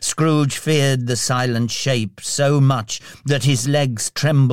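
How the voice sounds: Fairly even intonation in a natural reading voice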